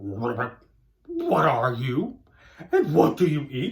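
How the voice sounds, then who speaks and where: In a put-on character voice, the speaker croaks out words at a very slow pace and a low-to-middle pitch. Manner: curious, questioning.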